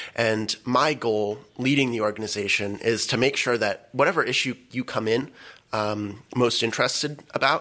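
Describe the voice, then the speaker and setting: A man talks at a moderate pace in a bright, sharp tone, his pitch medium and its variation ordinary. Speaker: college club president. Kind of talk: roundtable discussion. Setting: studio.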